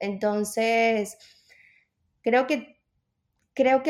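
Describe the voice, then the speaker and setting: A woman is speaking here. Her pace is very slow. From Venezuela. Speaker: personal trainer. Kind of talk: interview.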